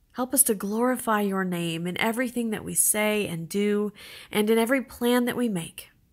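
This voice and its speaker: A woman with a normal speaking voice talks at a moderate pace, her fairly high pitch showing ordinary variation. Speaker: church prayer leader. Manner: earnest, solemn, supplicating; measured, reverent, with pauses between petitions.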